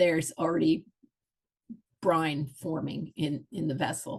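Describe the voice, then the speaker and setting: A woman speaks in a somewhat breathy voice. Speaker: historical reenactment food presenter. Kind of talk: presentation. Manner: casual with many fillers.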